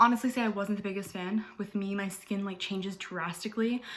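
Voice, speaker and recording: A woman's medium-pitched, monotone, flat delivery at a fairly quick pace. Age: 20s. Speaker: beauty vlogger. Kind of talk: tutorial. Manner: casual, filler-heavy.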